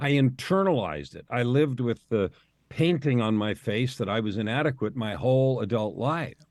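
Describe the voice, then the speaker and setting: At a moderate pace, a man with a normal speaking voice and a medium pitch talks with lively intonation. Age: 60s. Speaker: life coach. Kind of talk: interview conversation.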